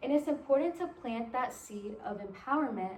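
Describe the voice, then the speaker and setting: In a Spanish accent, a woman speaks at a fairly slow pace with a high pitch and lively intonation. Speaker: college intern presenting to teachers. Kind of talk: presentation to educators.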